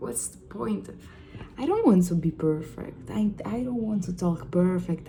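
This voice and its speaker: With an Italian accent, a woman talks at a fairly slow pace amid noticeable background noise and audible room echo. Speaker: vlogger. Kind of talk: ASMR-style casual monologue. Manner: halting; soft-spoken.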